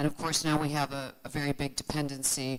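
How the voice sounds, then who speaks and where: A woman with an American accent speaks at a moderate pace in a very deep, low voice. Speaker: financial markets advisor, panelist. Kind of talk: panel discussion.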